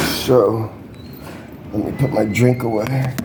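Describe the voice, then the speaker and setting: A man with ordinary pitch variation is heard amid noticeable background noise and audible room echo. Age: 60s. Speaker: vlogger reporting a crime. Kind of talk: casual chat. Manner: repetitive, halting.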